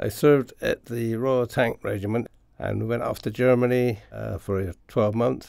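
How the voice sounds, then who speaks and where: A man in a Bristol accent at a moderate pace. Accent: Bristol West Country English. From Bristol, England (Bedminster). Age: 70s. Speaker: retired railway worker. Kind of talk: oral history interview. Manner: halting, with fillers.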